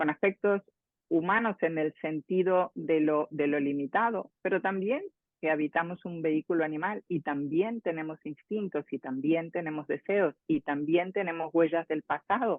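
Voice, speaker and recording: Her voice is fairly low for a woman, with ordinary pitch variation at a moderate pace. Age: 60s. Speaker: transpersonal psychologist and author. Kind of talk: interview. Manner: halting, with many fillers and repetitions.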